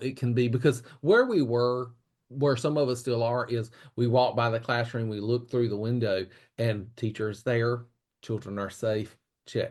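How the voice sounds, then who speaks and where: With a Southern US accent, a man at medium pitch talks at a moderate pace with fairly even intonation. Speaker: childcare expert and keynote speaker. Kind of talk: podcast interview.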